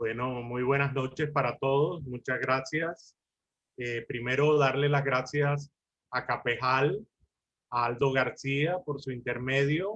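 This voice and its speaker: Very slow delivery from a man at medium pitch, his intonation fairly even. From Colombia. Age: 60s. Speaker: lawyer and mediator. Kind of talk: lecture.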